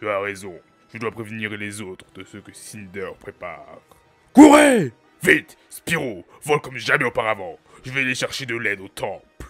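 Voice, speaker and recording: Using a put-on character voice, a man speaks at medium pitch. Faint music plays in the background. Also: moderate pace. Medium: fan dub.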